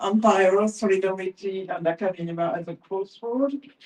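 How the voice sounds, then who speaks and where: With a French accent, a woman speaks at a very slow pace. Her pitch is medium, with ordinary pitch variation. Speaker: professor. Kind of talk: reading aloud; panel talk. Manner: halting.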